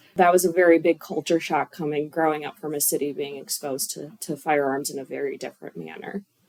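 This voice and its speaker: Very deep and low for a woman, her voice runs at a very fast pace with hardly any pauses and fairly even intonation. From Chicago, US Midwest. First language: not English. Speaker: firearms instructor, gun club member. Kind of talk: radio interview.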